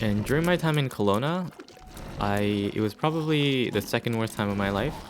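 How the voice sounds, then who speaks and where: Noticeable background noise sits behind a man whose fairly low voice moves at a fairly quick pace with lively intonation. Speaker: gaming YouTuber. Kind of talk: casual gameplay commentary. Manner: hesitant, with fillers.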